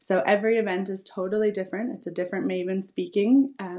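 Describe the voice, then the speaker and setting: A woman's medium-pitched voice with a Canadian accent, a dark, mellow tone and ordinary pitch variation. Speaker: entrepreneur and event founder. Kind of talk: casual interview chat.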